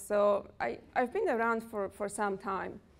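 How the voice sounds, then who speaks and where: A woman speaks in a Polish accent. Her pitch is fairly high. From Poland. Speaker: personal development coach. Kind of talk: workshop talk. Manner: animated.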